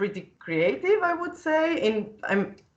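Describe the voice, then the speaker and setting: Speaking at a fairly slow pace, a woman talks with a slight Italian accent. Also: quiet background. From Italy. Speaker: 3D digital fashion designer. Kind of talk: casual live-stream conversation. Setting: live stream, video call.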